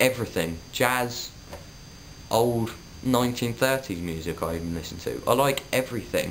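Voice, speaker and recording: A man speaks in a Suffolk accent at a medium pitch. His pace is moderate and his intonation lively. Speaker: vlogger. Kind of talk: casual vlog monologue.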